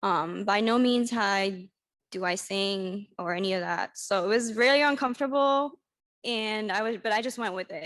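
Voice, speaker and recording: A woman speaks in a normal speaking voice, fairly high in pitch, at a moderate pace. Her pitch varies in an ordinary way, and the background is quiet. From US, Washington DC area (moved from France at ten). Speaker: nonprofit director. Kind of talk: personal presentation at a community event.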